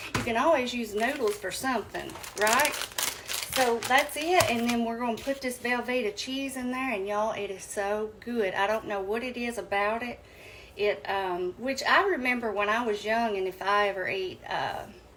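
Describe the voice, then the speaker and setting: Over noticeable background noise, a woman with a Southern US accent speaks at a moderate pace and fairly high pitch, with ordinary pitch variation. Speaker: home cooking youtuber. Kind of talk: cooking tutorial. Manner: casual, chatty with fillers.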